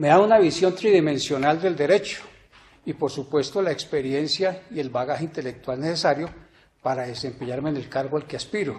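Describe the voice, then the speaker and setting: At a fairly quick pace, a man with an unremarkable speaking voice talks at a fairly high pitch with ordinary pitch variation. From Colombia, Ibagué. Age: 60s. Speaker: judicial candidate, law professor. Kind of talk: formal candidacy presentation. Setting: plenary court chamber. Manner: formal.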